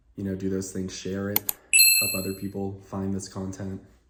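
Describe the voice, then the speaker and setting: Against noticeable background noise, a man with a very deep, low pitch speaks at a moderate pace with fairly even intonation. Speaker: job candidate and sales career content creator. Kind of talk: casual chat to camera, then job interview.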